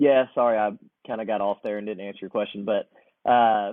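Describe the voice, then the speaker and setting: A man's medium-pitched voice with an American accent and monotone, flat intonation. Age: 30s. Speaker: air show and air race pilot. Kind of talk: podcast interview. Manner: casual.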